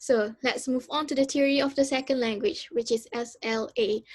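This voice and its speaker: On a very clean recording with a silent background, a woman with a high pitch speaks at a moderate pace with ordinary pitch variation. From Malaysia. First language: Malay. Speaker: university student. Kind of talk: student presentation. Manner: halting, many fillers.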